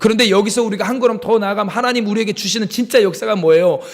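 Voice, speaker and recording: There is noticeable background noise behind this recording. A man talks with ordinary pitch variation. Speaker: pastor. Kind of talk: sermon.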